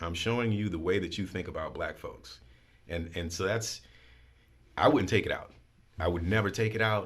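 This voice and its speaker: Somewhat breathy, a man's fairly low voice shows ordinary pitch variation. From New Orleans. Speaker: school head and spoken word poet. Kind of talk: interview answer.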